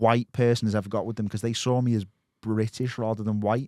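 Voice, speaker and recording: A man's medium-pitched voice with a dark, mellow tone, a fairly quick pace and a slight Scouse accent. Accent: slight Scouse twinge. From Merseyside, England. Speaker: podcast host and documentary maker. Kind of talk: casual chat. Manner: animated, halting storytelling.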